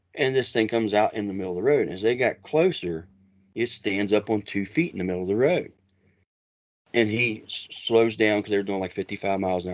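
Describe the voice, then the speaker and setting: A man with an Appalachian accent, a fairly low pitch, ordinary pitch variation and a very fast pace, over a quiet background. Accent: Appalachian American. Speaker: Bigfoot researcher. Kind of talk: interview storytelling. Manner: halting, many restarts.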